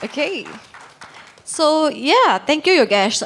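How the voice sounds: Her pitch shows ordinary variation as the woman talks. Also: fairly bright tone.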